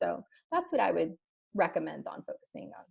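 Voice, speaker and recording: A woman's somewhat breathy voice moves along at a medium speed. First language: Spanish. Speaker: head of customer success, webinar guest. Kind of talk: webinar presentation.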